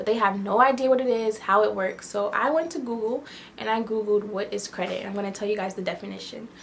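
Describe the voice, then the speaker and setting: A woman speaks at a very fast pace with ordinary pitch variation. Noticeable background noise runs underneath. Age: 20s. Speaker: lifestyle YouTuber. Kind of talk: casual tutorial vlog. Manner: conversational with fillers.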